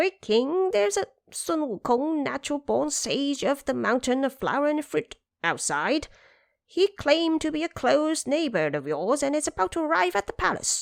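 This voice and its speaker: In a put-on character voice, a woman speaks at a high pitch, recorded very cleanly over a silent background. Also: moderate pace. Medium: audio drama. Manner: gruff, officious.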